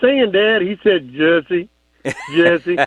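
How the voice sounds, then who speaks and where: Moderate pace and ordinary pitch variation from a man with a Texan accent. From Texas. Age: 50s. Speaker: caller. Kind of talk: phone-in story.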